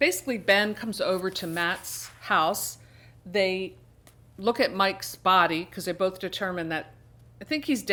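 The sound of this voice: An unforced reading voice, pitch shifting in an ordinary way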